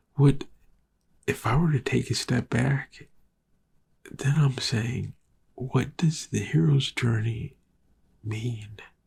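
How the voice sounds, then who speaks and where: This man speaks at a very slow pace with a medium pitch and some vocal fry. Long, frequent pauses break up his speech, and his pitch varies in an ordinary way. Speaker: film podcast host. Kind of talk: casual monologue. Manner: halting.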